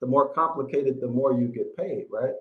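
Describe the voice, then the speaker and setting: A man speaks over a quiet background. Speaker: biblical Hebrew teacher. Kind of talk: casual live stream chat. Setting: video call. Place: home room. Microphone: video call.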